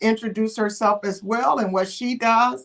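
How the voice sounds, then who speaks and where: A woman speaks with an American accent. Her pitch varies in an ordinary way. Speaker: pastor and show host. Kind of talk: panel talk show. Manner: halting, with many fillers.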